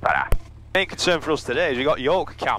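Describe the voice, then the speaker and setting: Heard as a dry sound with no echo and light background noise, a man speaks at a fairly quick pace. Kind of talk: casual commentary. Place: plane. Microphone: headset.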